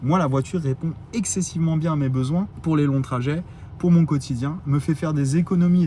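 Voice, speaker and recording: A man with a fairly high pitch talks at a fairly quick pace in an animated tone, his pitch moving in an ordinary way. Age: 40s. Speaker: electric car YouTuber. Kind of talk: casual vlog monologue. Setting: outdoors in parking lot at charger. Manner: animated, hesitant with many fillers.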